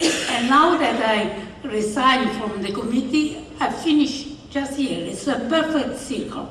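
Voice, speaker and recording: A woman with an Italian accent speaks very slowly at a high pitch with ordinary variation, amid noticeable background noise and audible room echo. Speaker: award recipient, sports official. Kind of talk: acceptance speech.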